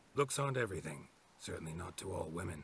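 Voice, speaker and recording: A man puts on a raspy character voice with a very deep, low pitch and very wide pitch swings. He races along at a very fast pace. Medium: video game. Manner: dry, sardonic.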